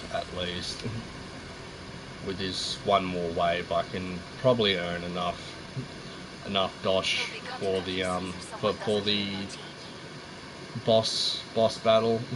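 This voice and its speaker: A man with a very deep, low pitch speaks in a monotone, flat intonation at a very slow pace with long, frequent pauses, amid audible room echo and noticeable background noise. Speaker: gaming streamer. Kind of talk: live gameplay commentary. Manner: halting, repetitive speech.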